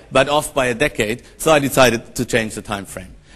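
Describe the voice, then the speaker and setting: With a German accent, a man talks at a fairly quick pace and with lively intonation. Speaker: professor and conference moderator. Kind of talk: conference keynote introduction. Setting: stage with audience. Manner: hesitant, many fillers.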